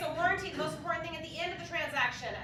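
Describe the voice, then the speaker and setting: A woman speaks in a raised, projected voice at an extremely high pitch. Audible room echo and noticeable background noise fill the recording. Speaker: home warranty representative. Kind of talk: sales presentation at office meeting. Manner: fast; animated.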